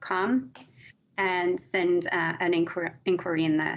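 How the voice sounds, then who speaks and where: A woman is speaking. She has an English accent. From England, Redditch. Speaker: business development staff. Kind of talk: casual interview.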